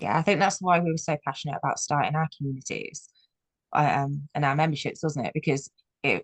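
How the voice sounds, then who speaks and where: This woman has a Brummie accent and a very deep, low pitch with ordinary pitch variation. She talks fairly quickly, with a dry, close sound and no echo. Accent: Birmingham (Brummie). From Birmingham, England. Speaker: business coach. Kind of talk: panel discussion. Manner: fast-talking.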